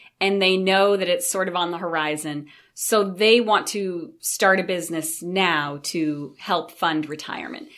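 A woman with an ordinary speaking voice and an American accent, fairly low in pitch with ordinary pitch variation, at a fairly slow pace with hardly any pauses. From Maine, US. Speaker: small business advisor. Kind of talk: interview.

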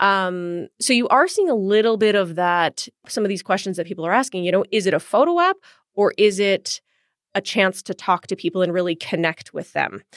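Speaking fairly quickly with a Western Canadian accent, a woman uses a medium pitch and ordinary pitch variation in a dry, close sound with no echo and a very clean recording with a silent background. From Edmonton, Alberta, Canada. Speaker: TV news host and producer. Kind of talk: interview.

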